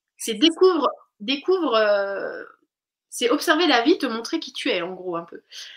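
A woman's voice swings very widely in pitch at a fairly slow pace. The recording is very clean, with a silent background. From Switzerland. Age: 30s. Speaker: naturopath. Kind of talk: casual chat.

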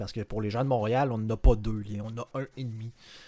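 A man's dark, mellow tone with flat, monotone intonation. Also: very clean recording, silent background. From Lévis, Quebec. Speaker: podcast co-host. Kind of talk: casual chat.

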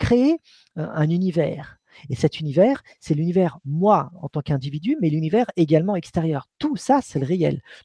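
In a dry, close recording with no echo, a man with a fairly high pitch and a dark, mellow tone speaks with lively intonation. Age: 40s. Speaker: author and researcher on consciousness and spirituality. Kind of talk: live-streamed interview.

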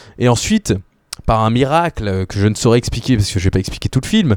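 Recorded very cleanly against a silent background, with a dry, close sound and no echo, a man of medium pitch speaks in a dark, mellow tone with lively intonation. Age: 20s. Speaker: film podcaster. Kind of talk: casual chat.

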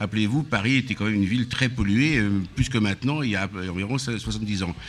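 He has an ordinary speaking voice. The man's pace is moderate, and his pitch varies in an ordinary way. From Auvergne, Aveyron (France). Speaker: restaurant owner. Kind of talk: casual chat. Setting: live broadcast at his riverside venue.

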